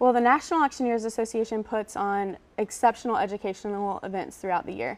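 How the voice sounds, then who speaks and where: A woman's plain, everyday voice with an American accent, fairly high in pitch with ordinary pitch variation, at a fairly quick pace in a very clean recording with a silent background. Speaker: auctioneer. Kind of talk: news studio interview answer. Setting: TV news studio.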